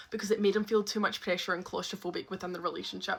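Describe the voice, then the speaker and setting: With a Scottish accent, a woman speaks in a bright, sharp tone. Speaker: storyteller. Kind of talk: storytime monologue. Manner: animated; loud.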